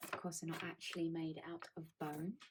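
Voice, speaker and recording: Soft-spoken and somewhat breathy, a woman talks at a fairly low pitch. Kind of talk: ASMR crafting video, soft-spoken talk to camera.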